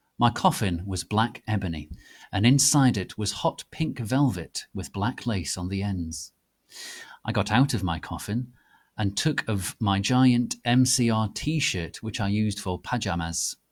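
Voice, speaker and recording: In a very clean recording with a silent background, a man talks in a normal speaking voice at a fairly slow pace. His fairly low voice has lively intonation. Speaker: dramatic reader of fanfiction. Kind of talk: dramatic reading of a story.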